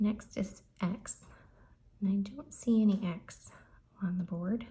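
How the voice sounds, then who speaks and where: A soft-spoken woman talks in a somewhat breathy, dark, mellow tone at a medium pitch with ordinary pitch variation. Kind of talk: lottery scratch-off commentary.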